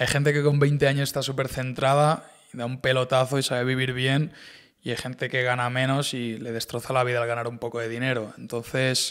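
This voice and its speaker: A man's fairly quick, monotone delivery with flat intonation against a quiet background. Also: medium pitch for a man. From Spain, Barcelona; Catalonia, Spain. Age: 20s. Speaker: e-commerce entrepreneur; podcast guest. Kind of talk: casual interview chat. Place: studio. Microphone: studio mic.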